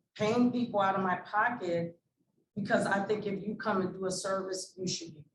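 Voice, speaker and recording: A woman with an American accent speaks at a medium pitch in a monotone, flat intonation. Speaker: nonprofit founder, former police officer. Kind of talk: panel discussion. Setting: stage with audience. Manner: loud.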